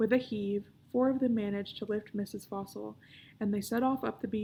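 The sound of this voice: The reading here is delivered in an unforced reading voice.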